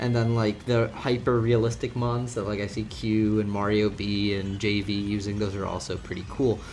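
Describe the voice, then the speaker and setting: A man with a fairly low pitch speaks in a monotone at a moderate pace, with hardly any pauses. Audible room echo and noticeable background noise are present. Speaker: gaming YouTuber. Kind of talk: casual video game commentary. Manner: casual, many fillers.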